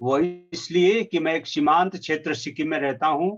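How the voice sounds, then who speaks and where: A man with a Nepali accent and a fairly high pitch, against a quiet background. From Sikkim, India. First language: Nepali (speaking Hindi). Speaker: poet and translator. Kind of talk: formal speech. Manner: halting, with fillers.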